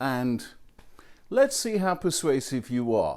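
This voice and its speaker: In a British accent, a man speaks at a fairly slow pace and medium pitch with lively intonation, captured in a very clean recording against a silent background. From England. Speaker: college professor. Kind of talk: video message to students.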